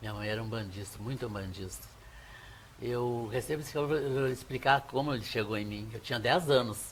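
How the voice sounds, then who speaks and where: Somewhat breathy, a man speaks fairly quickly at a medium pitch with ordinary pitch variation. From Brazil, Caxias do Sul (Rio Grande do Sul). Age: 70s. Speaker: Umbanda priest. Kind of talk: TV interview, storytelling.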